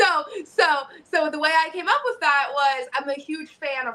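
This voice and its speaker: A woman's raised, projected voice, bright and sharp in tone, animated, at a moderate pace. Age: 30s. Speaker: professional wrestler. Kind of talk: interview.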